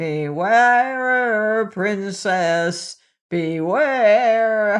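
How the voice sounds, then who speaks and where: A female-sounding voice at a medium pitch performs a put-on character voice over a quiet background. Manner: warning.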